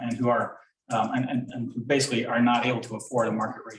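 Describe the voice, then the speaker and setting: The speaker is a man. He talks very fast. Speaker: property developer. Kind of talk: public presentation. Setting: town board meeting. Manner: hesitant with many fillers.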